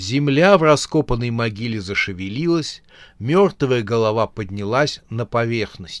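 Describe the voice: Someone does plain reading aloud here.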